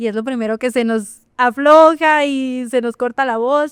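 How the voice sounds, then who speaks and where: A woman speaks loudly at a high pitch. The sound is dry and close, with no echo. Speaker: marketing professional and cultural manager. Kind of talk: interview conversation.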